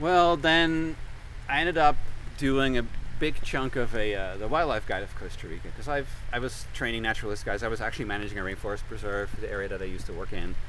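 With a bright, sharp tone and fairly high pitch, a man talks at a very fast pace with lively intonation, and audible room echo surrounds his voice. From Netherlands. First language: Dutch. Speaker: conservation scientist. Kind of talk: casual interview. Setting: outdoors on a trail.

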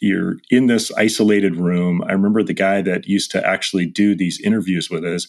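This man has an unremarkable speaking voice, a fairly low pitch, ordinary pitch variation, and a moderate pace. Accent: American. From Oregon, US Northwest. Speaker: podcast host, firefighter and EMT. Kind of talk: casual interview.

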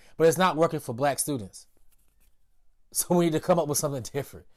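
The recording is very clean, its background silent. A man talks in an American accent. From US South, Durham, North Carolina. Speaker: agriculture educator and farmer. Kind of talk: interview. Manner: halting with fillers.

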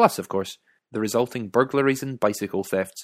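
Speaking with a Scottish accent at a medium pitch, a man goes at a fairly quick pace with ordinary pitch variation in a very clean recording, silent background, the sound dry and close with no echo. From Scotland. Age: 30s. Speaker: author and podcaster. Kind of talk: scripted narration.

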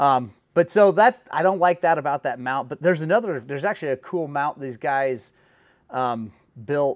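A man's ordinary speaking voice with an American accent, fairly high pitch, lively intonation, moderate pace and big swings in loudness, in a dry, close, very clean recording with a silent background and no echo. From Oklahoma. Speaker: podcast host. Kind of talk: casual chat.

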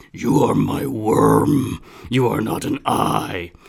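Someone does a raspy, put-on character voice at a very slow pace. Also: man, medium pitch for a man. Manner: booming, menacing.

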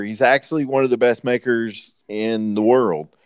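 Using an American accent, a man of medium pitch talks in an ordinary speaking voice with ordinary pitch variation. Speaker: knifemaker and former Navy boarding officer. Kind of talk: casual chat, joking banter. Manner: joking, irreverent.

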